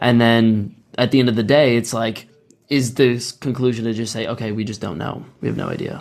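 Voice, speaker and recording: This man has a normal speaking voice at medium pitch. His intonation is fairly even and his pace moderate. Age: 20s. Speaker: podcast host. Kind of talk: casual interview chat.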